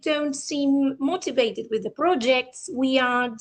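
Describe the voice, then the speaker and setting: A woman speaks at a high pitch and a fairly slow pace. Her pitch varies in an ordinary way. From Argentina. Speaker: English teacher and lecturer. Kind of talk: conference presentation.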